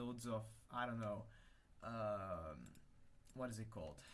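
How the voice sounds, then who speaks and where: At a fairly slow pace, a man talks amid audible room echo. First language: Hungarian. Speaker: livestreamer, language hobbyist. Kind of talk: casual livestream chat while working. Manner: halting, many fillers and restarts.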